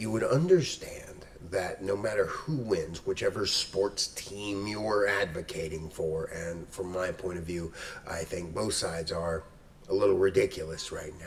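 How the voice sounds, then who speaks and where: A man at a fairly slow pace, over noticeable background noise. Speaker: history professor. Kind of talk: casual talk to camera.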